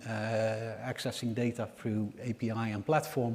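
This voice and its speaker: A man with a Dutch accent, medium pitch and a flat, monotone delivery. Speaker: energy market analyst. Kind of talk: conference presentation. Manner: hesitant, many fillers.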